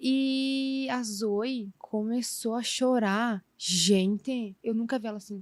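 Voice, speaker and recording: The recording is very clean with a silent background and a dry, close sound that has no echo. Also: woman. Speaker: podcast guest, mother of four. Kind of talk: casual chat. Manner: animated.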